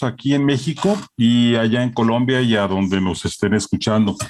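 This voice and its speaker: Speaking at a fairly slow pace, a man with a Mexican accent keeps a medium pitch and ordinary pitch variation. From Mexico. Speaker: publishing director. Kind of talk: formal remarks at an online presentation. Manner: hesitant, many filler sounds.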